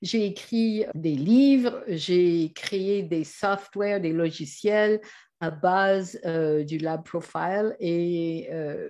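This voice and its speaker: Against a quiet background, a woman with a Canadian English accent talks in a dark, mellow tone at medium pitch with lively intonation. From Canada. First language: English (speaking French). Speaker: trainer and author. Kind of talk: presentation. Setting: online video. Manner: hesitant.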